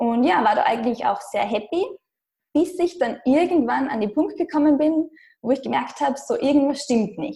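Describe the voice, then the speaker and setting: A woman speaks at a moderate pace with a high pitch and lively intonation. Her tone is dark and mellow. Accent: Austrian. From Austria. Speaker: blogger and digital nomad. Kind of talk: interview. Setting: internet recording.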